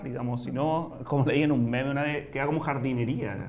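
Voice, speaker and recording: A man speaks at a medium pitch. The room gives off audible echo. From Chile, Santiago. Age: 30s. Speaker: writer and sociologist. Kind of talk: interview. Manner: hesitant, many fillers.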